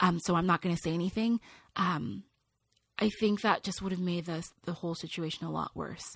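A woman with an American accent speaks at a fairly quick pace in a fairly low voice with ordinary pitch variation, an unremarkable speaking voice, on a very clean recording with a silent background. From California, Nigerian family. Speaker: international speaker and author. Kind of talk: interview.

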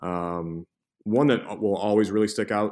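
An American accent with monotone, flat intonation. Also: man, very clean recording, silent background. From US Midwest, Cleveland, Ohio. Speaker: college sports information director. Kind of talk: interview.

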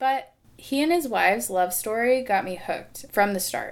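Using a normal speaking voice, a woman talks at a fairly high pitch and moderate pace with lively intonation. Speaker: podcast host. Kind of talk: scripted narration.

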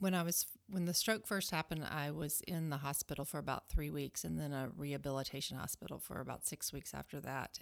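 Very deep and low in pitch, a woman talks in a Southern US accent at a moderate pace with fairly even intonation. The recording is very clean with a silent background. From US South, Alabama. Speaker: homeschooling mother. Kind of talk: casual chat.

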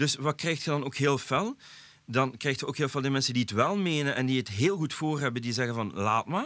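A man with a Flemish accent, medium pitch, ordinary pitch variation and a fairly quick pace, on a very clean recording against a silent background. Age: 40s. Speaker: podcast host. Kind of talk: casual chat.

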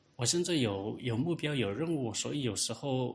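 In a quiet setting, a man speaks at a moderate pace with lively intonation, his medium-pitched voice somewhat breathy. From Hunan, Yueyang. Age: 30s. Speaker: government employee and independent researcher. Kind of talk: interview testimony. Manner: halting, with many filler sounds.

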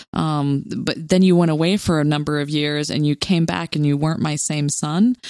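A woman with an American accent, very deep, low pitch and hardly any pauses. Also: ordinary pitch variation, moderate pace, very clean recording, silent background. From US South, Louisiana. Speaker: podcast co-host. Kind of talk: casual chat.

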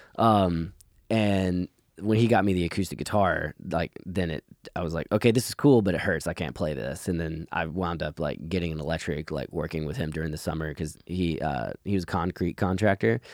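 A man with a very deep, low pitch and vocal fry talks at a fairly quick pace. The recording is very clean, dry and close, with a silent background and no echo. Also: ordinary pitch variation. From US South, Georgia (Conyers). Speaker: rock band lead singer. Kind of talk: casual interview. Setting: in person.

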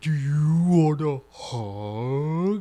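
A put-on character voice at a middle pitch. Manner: creepy.

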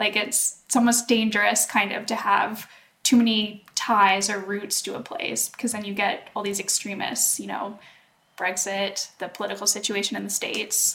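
A woman with a Canadian accent talks at a moderate pace in a plain, everyday voice, medium in pitch with fairly even intonation. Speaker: podcast co-host. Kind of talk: casual chat.

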